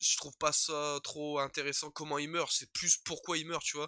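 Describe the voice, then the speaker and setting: The voice has a bright, sharp tone and a moderate pace, with a dry, close sound and no echo. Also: man. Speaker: YouTuber, TV series reviewer. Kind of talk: casual video review. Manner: halting, many hesitations; informal slang.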